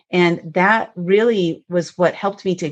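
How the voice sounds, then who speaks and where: Her voice fairly low in pitch, a woman is speaking. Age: 50s. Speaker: author and motivational speaker. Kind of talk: podcast interview, personal testimony. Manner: animated.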